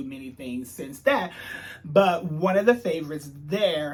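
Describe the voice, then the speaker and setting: A man with a high pitch talks fairly slowly and with lively intonation while noticeable noise runs behind him. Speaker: TV show reviewer. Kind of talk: casual video review monologue.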